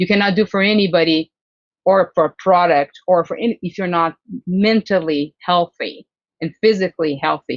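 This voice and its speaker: A woman's fairly low voice with a Brazilian Portuguese accent, fairly even intonation and a moderate pace. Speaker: HR leader and diversity consultant. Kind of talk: podcast interview.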